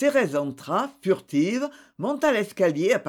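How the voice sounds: Just a natural reading voice.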